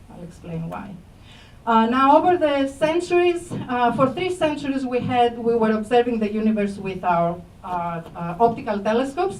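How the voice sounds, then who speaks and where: Against audible room echo, a woman with a Greek accent speaks at a moderate pace in a fairly high pitch. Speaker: astrophysics professor. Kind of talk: public lecture. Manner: hesitant, many fillers.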